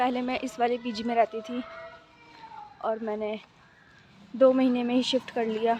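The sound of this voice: Speaking at a moderate pace, a woman with a fairly high pitch has a slightly mellow tone, a slightly husky edge and little pitch movement.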